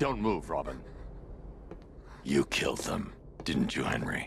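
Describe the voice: Doing a put-on character voice, a man speaks fairly slowly at an extremely low pitch with vocal fry and very wide pitch swings, over faint background noise.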